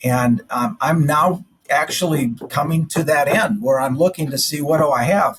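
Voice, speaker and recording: Somewhat breathy and fairly high-pitched, a man talks at a moderate pace with ordinary pitch variation. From South Dakota. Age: 60s. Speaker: general surgeon. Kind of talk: interview.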